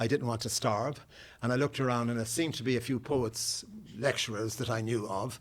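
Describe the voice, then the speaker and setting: An Irish accent at a fairly quick pace, with fairly even intonation. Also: man. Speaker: poet. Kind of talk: audience Q&A. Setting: public talk with audience. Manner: halting, many repeated words.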